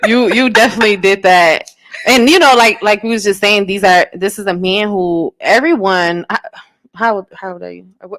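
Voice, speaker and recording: A woman speaks at a moderate pace with medium pitch and ordinary pitch variation, in an unremarkable speaking voice. The sound is dry and close, with no echo. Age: 30s. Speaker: radio show host. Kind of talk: casual interview chat.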